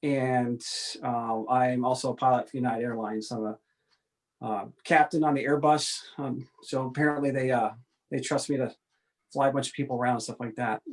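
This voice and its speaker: A man with an American accent talks at a fairly quick pace in a normal speaking voice, his pitch medium and his intonation fairly even. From upstate New York (far north). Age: 40s. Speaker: airline pilot and military reserve officer. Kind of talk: casual interview.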